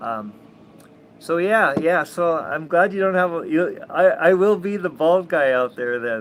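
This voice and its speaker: He speaks with an American accent. The voice is a man's. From Minnesota, US. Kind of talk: casual vlog monologue. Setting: outdoors on a sailboat cockpit. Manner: halting, many fillers and repetitions.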